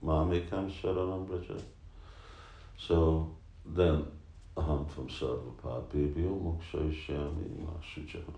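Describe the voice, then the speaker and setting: A man with a very deep, low pitch and a dark, mellow tone speaks somewhat breathily at a fairly slow pace, leaving long, frequent pauses. His intonation stays fairly even, and room echo is audible. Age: 60s. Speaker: spiritual teacher. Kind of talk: casual chat.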